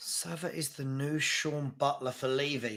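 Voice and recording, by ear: A man speaks with a fairly high pitch, vocal fry, and a fairly bright tone.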